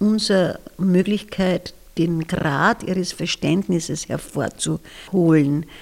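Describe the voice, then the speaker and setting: Ordinary pitch variation shapes this voice, which has vocal fry. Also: woman. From Austria, southern Styria (Bad Radkersburg). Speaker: retired kindergarten teacher. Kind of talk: interview.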